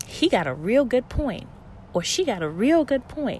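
In an American accent, this somewhat breathy voice moves through very wide pitch swings. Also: woman. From US South, Low Country South Carolina. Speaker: podcast host. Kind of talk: solo podcast monologue. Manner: halting, with fillers and repeats.

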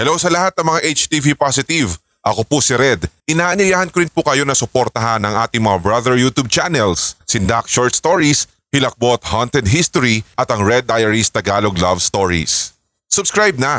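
In a very clean recording with a silent background and a dry, close sound with no echo, a man of medium pitch speaks at a moderate pace. His bright, sharp, animated tone moves in very wide pitch swings at very even loudness. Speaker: podcast host narrating listener's story. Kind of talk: ghost story narration. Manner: animated, conversational storytelling.

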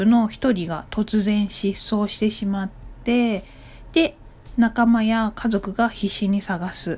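A woman with a fairly high pitch and a dark, mellow, somewhat breathy tone speaks at a fairly slow pace with fairly even intonation. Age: 30s. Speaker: solo podcaster. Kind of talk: casual monologue.

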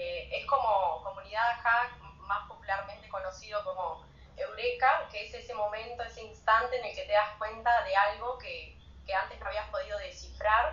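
Big shifts in loudness from a woman at a moderate tempo. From Uruguay, Rocha. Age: 30s. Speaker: communications graduate and Instagram writer. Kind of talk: casual chat. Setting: Instagram live video stream.

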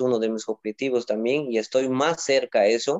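With ordinary pitch variation, this is an ordinary speaking voice. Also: man. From Peru, Moyobamba, San Martín (Amazon region). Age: 20s. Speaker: Olympic weightlifter. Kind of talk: interview.

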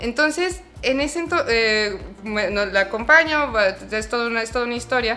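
A woman with a Mexican accent speaks at a moderate pace in a fairly high pitch, her intonation lively. Noticeable background noise runs beneath her voice. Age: 30s. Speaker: clinical psychologist. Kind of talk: interview. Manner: animated.

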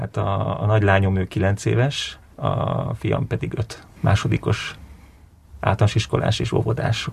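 A man's fairly low voice with vocal fry and very wide pitch swings. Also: fairly slow pace. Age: 40s. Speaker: film director. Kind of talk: interview.

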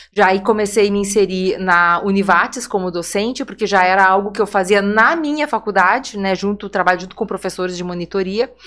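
Fairly quick speech with a southern Brazilian accent comes with hardly any pauses and ordinary pitch variation. The recording is very clean with a silent background. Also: woman, medium pitch for a woman. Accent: gaúcho Brazilian Portuguese. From Porto Alegre, southern Brazil. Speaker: nurse and women's center coordinator. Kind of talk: podcast interview.

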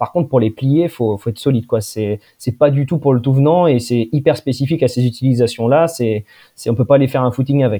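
A man with a medium pitch and a dark, mellow tone talks at a very fast pace on a very clean recording with a silent background. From France, Poitou (Poitiers). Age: 20s. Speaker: engineer and company director. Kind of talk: casual interview. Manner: hesitant, many repetitions.

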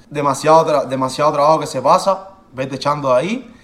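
A man talks at a very fast pace. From Cuba. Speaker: professional footballer. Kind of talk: interview.

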